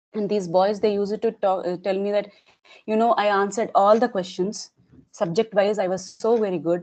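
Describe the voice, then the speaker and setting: A Telugu accent at a fairly quick pace with fairly even intonation. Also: woman, medium pitch for a woman. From Telangana, India. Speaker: English learner interviewee. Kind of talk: casual interview. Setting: video call.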